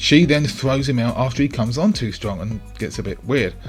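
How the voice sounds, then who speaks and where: Music plays in the background as a man speaks at a fairly quick pace with lively intonation. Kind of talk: film analysis commentary.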